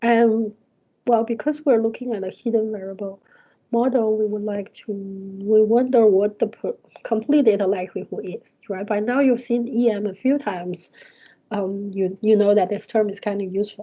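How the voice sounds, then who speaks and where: A woman with a non-native accent, fairly high pitch, moderate pace and fairly even intonation. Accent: non-native English, trouble with th and z. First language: not English. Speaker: university lecturer. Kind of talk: lecture. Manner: hesitant, many fillers.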